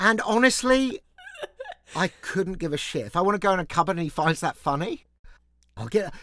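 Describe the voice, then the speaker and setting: Fairly quick speech in an English accent, broken by long, frequent pauses. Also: man. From England. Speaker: management consultant. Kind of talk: casual chat.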